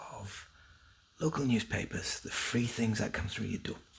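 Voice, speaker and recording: A man whispers over noticeable background noise. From Northern England. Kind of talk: ASMR newspaper reading. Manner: soft-spoken.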